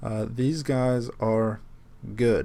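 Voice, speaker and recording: A man's medium-pitched voice, with fairly even intonation, unfolds at a very slow pace. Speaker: gaming video creator. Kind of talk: casual gaming commentary. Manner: halting, many fillers.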